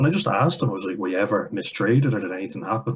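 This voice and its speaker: A man with an Irish accent and ordinary pitch variation. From Ireland. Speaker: commentary vlogger. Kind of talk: reaction commentary. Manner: animated.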